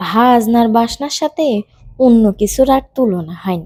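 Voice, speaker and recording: Ordinary pitch variation from a woman. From Pabna, Bangladesh. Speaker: home cook. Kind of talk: cooking tutorial narration.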